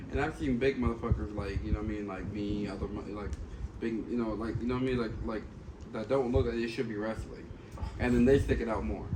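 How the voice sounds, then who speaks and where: A man is speaking. His pitch moves in an ordinary way. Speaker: podcast host, trainee wrestler. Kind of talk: podcast interview, casual talk.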